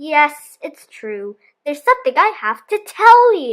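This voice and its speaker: In a put-on character voice, a woman talks at a moderate pace with an extremely high pitch and very wide pitch swings. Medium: read story.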